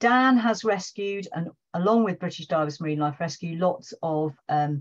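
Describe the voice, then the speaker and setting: A woman's plain, everyday voice at a fairly low pitch and moderate pace, with ordinary pitch variation, over a quiet background. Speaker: seal researcher and session organiser. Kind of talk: online presentation. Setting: video call.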